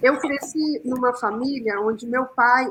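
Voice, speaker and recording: A woman's high-pitched voice at a fairly slow pace. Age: 60s. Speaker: communicator, panel guest. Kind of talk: panel debate. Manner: hesitant, many fillers.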